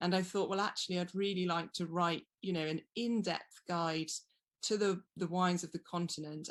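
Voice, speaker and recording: Against a quiet background, a woman with a British accent speaks at a moderate pace in a fairly low pitch with fairly even intonation. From England. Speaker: wine writer. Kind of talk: interview.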